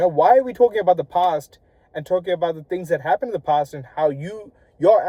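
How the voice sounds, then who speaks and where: At a moderate pace, a man mumbles in a high pitch with a dark, mellow tone. The sound is dry and close, with no echo. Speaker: vlogger. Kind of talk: casual vlog monologue. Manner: halting, stumbling over words; mumbled words.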